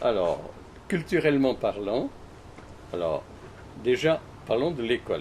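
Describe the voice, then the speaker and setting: Delivered at a very slow pace, the speech has long, frequent pauses and very wide pitch swings. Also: man, fairly high pitch for a man. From Switzerland, Valais. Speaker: interviewee recalling his life. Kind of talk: interview. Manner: halting, many repetitions.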